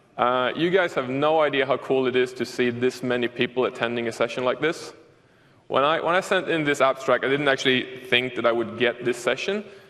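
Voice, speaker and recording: A man speaks with a Swedish accent at a medium pitch and a fairly quick pace. His loudness stays very even, and his pitch varies in an ordinary way. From Sweden. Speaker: software developer, conference speaker. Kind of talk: conference talk. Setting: stage with audience.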